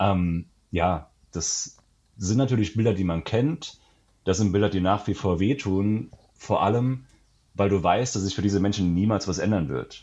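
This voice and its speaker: Pausing long and often, a man talks at a fairly low pitch with ordinary pitch variation. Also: moderate pace. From Germany, Saarland. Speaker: travel author. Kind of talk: casual interview. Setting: remote call.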